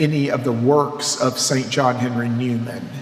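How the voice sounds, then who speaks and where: A man at a fairly slow pace amid noticeable background noise and audible room echo. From US South, Mississippi. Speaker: priest and seminary professor. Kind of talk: lecture. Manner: animated.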